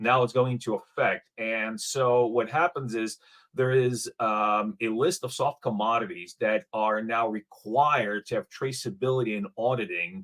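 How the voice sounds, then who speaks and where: A man with a non-native accent speaks at a moderate pace and medium pitch, with ordinary pitch variation and hardly any pauses, in a very clean, dry, close recording with a silent background and no echo. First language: not English. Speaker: blockchain startup founder. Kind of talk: panel discussion. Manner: halting, many fillers and repeats.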